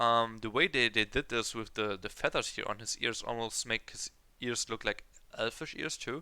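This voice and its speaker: The voice has a bright, sharp tone with a non-native accent. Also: man. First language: not English. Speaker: kpop reaction youtuber. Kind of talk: reaction video commentary. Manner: halting, many fillers.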